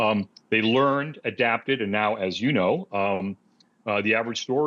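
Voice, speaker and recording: Lively intonation colors a man's speech at a moderate pace. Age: 60s. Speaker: automotive researcher. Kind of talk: podcast interview. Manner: hesitant, many fillers.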